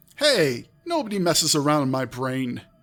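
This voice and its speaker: In a squeaky, put-on character voice, a man speaks at a fairly high pitch and a moderate pace. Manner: outraged.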